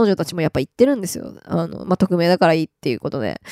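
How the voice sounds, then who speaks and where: A woman's dark, mellow voice, dry and close with no echo. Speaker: podcast host. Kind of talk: solo casual talk. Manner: frequent fillers, laughing.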